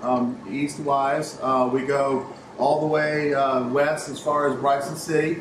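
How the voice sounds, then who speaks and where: Noticeable background noise runs under a man talking at a very slow pace. His intonation stays fairly even. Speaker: interviewee. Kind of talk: interview answer. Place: factory.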